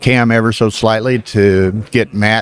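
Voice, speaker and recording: A man speaks with a Southern US accent at a fairly low pitch. His intonation is monotone and flat. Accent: Southern American. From US South. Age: 70s. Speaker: backgammon commentator. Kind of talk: live commentary. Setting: live stream at a casino tournament.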